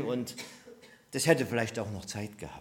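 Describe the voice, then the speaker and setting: A man speaks with vocal fry. The room adds audible echo. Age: 60s. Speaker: preacher. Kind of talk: sermon. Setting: church service with congregation.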